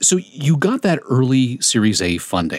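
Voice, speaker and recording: This man has a medium pitch and lively intonation. He has an ordinary speaking voice. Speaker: podcast host. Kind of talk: scripted intro narration and interview.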